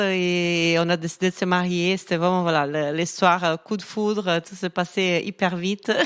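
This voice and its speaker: Recorded very cleanly against a silent background, a woman speaks at a fairly low pitch with a slight Brazilian accent. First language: Portuguese (speaking French). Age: 30s. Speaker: fashion influencer. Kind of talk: casual interview chat.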